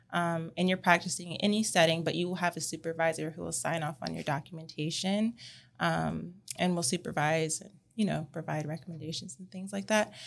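In an American accent with vocal fry, the speaker goes at a fairly quick pace with ordinary pitch variation and big swings in loudness, on a very clean recording with a silent background. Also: woman, fairly low pitch for a woman. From California. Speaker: speech language pathologist and clinic owner. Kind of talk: casual interview.

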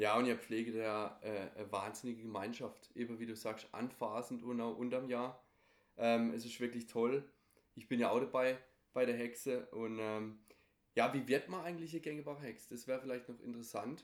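This man has an ordinary speaking voice at a medium pitch. He speaks at a moderate pace with fairly even intonation. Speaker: podcast host. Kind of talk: interview.

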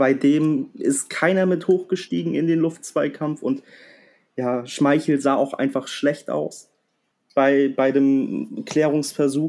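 Ordinary pitch variation marks a man's speech at a very slow pace. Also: fairly high pitch for a man, very clean recording, silent background. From northern Germany, Kiel. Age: 20s. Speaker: football fan podcast guest. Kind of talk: casual chat.

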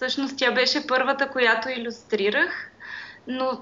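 Speaking very slowly, a woman uses a high pitch and a monotone, flat intonation. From Bulgaria, Pirdop. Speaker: graphic designer. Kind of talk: interview.

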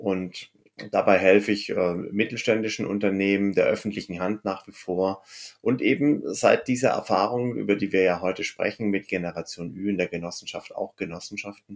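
On a very clean recording with a silent background, a man talks in a normal speaking voice at a fairly low pitch, a moderate pace and with fairly even intonation. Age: 50s. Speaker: cooperative founder, former state secretary. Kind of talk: interview.

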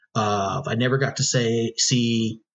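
A man's somewhat breathy, medium-pitched voice with an American accent and fairly even intonation. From US Midwest, northwest Ohio. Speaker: Spanish teacher and soccer coach. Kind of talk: casual interview.

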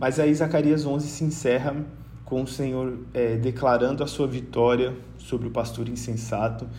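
In a room with audible echo, a man with a medium pitch and a dark, mellow tone speaks at a moderate pace with vocal fry and fairly even intonation. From Brazil, Rondônia. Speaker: missionary and Bible study facilitator. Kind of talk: Bible teaching in casual podcast chat. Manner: hesitant, many filler sounds.

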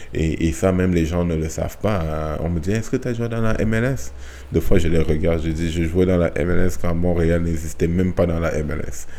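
Amid audible room echo and noticeable background noise, a man with a very deep, low pitch speaks at a moderate pace with ordinary pitch variation. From Cameroon. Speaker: retired soccer player. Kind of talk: casual interview. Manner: halting, with repetitions.

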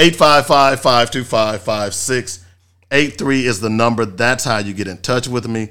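A man with a bright, sharp tone speaks at a very slow pace, his medium pitch showing ordinary variation, on a very clean recording with a silent background. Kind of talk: radio promo voice-over, polished station ad read. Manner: brisk, upbeat, punchy announcer delivery.

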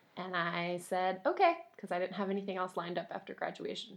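A woman talks at a fairly quick pace. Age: 20s. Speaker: high school English teacher. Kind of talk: casual interview conversation.

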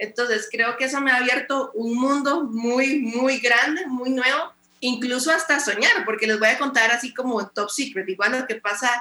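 A woman's high voice, with ordinary pitch variation, a moderate pace and hardly any pauses. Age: 20s. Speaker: pastor and radio host. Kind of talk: casual interview.

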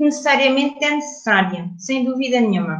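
A woman speaks at a moderate pace with very wide pitch swings. Room echo is audible. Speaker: English communication trainer. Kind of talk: interview.

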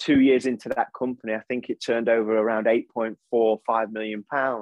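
A man speaks in an East Midlands accent. His pitch is medium. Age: 40s. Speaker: motivational speaker and coach. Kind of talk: interview conversation.

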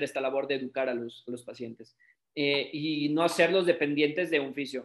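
A man is talking here. His pace is fairly quick. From Mexico. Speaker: sports physiotherapist. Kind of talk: online talk / presentation.

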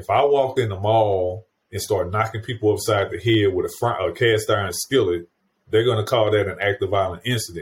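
The man's fairly low voice is somewhat breathy, with fairly even intonation. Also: fairly quick pace. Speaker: podcast host. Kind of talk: interview, conversational.

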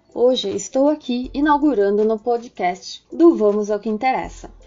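A woman's fairly slow speech plays with music in the background. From southern Brazil, Rio Grande do Sul. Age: 20s. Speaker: psychologist. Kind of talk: informative talk.

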